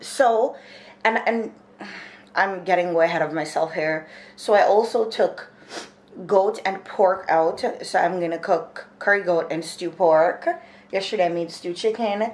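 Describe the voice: A woman's slightly mellow, fairly low voice at a fairly slow pace, with ordinary pitch variation and audible room echo.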